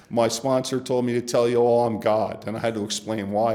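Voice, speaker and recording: Over noticeable background noise, a man talks at a medium pitch and a moderate pace. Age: 60s. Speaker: recovering alcoholic sharing his story. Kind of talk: testimony.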